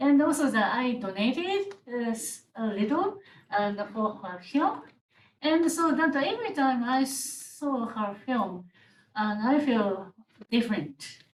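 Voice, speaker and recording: A woman's high, very slow speech in a Japanese accent, with very wide pitch swings. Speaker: legal scholar, panelist. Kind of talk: panel discussion. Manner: halting, hesitant.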